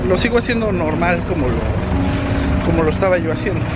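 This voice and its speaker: A man at a fairly quick pace, clear music in the background, dry sound with no echo. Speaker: fitness vlogger. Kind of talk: casual vlog chat. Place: street. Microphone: phone near.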